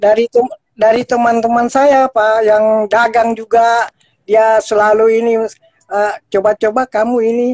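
Over a quiet background, a man with a high pitch talks at a moderate pace in a monotone, flat delivery, the sound dry with no echo. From Jakarta; Indonesia. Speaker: ice cream street vendor; caller. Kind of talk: call-in appeal. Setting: video call. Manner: halting. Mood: humble, modest. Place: home room. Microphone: video call.

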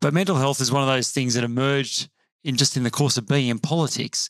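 Against a quiet background, a man talks fairly quickly with ordinary pitch variation and a dry sound with no echo. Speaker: politician guest. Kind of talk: interview answer. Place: studio. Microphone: studio mic.

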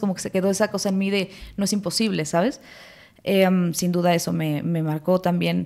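A woman's dark, mellow tone at a moderate pace. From Mexico City and Morelos; Mexico City, Mexico. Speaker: actress. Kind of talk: casual chat. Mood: reflective, personal. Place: studio. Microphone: studio mic.

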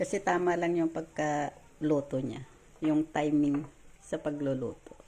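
Her pitch is very deep and low for a woman. She speaks at a fairly slow pace with fairly even intonation. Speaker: cooking vlogger. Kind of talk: cooking tutorial.

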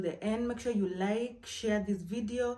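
The intonation stays fairly even. She, a woman, keeps a moderate pace. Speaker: home vlogger. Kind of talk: casual vlog chat. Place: home room.

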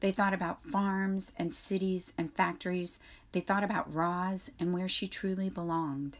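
Plain reading aloud with fairly even intonation is what this clip holds.

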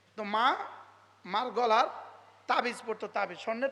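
A man is speaking. His tone is animated. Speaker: Islamic preacher. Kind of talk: sermon.

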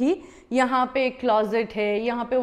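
Against a quiet background, a woman speaks very slowly in a high voice. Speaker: travel vlogger. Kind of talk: casual vlog chat. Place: home room. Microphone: lapel.

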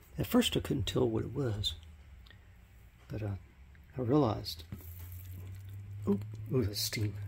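Fairly low, fry-tinged male voice with lively intonation, a fairly slow pace and long, frequent pauses. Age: 60s. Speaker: home cook. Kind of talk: casual talk to camera. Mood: pleased, savoring the smell. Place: kitchen. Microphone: phone near.

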